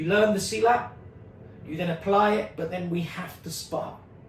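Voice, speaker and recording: A man speaks at a fairly quick pace. Some room echo can be heard. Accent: London. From London, England (Stonebridge, Harlesden). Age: 50s. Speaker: martial arts teacher. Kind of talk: community video update. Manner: animated.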